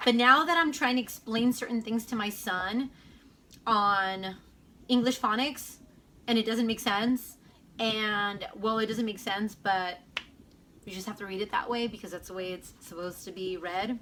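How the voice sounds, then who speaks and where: A woman's fairly high, bright, sharp voice at a moderate pace, with long, frequent pauses, ordinary pitch variation and big swings in loudness. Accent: Spanish. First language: Spanish. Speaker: homeschooling mom vlogger. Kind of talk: casual vlog Q&A. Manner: hesitant, filler-heavy.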